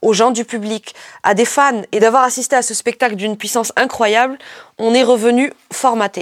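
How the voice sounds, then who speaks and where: Animated in tone, a woman with a fairly high pitch is heard in a dry, close sound with no echo. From Morocco. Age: 40s. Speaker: podcast host. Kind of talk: narrated documentary podcast; live on-site description.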